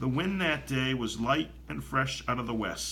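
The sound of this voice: An unforced reading voice. Its intonation is lively.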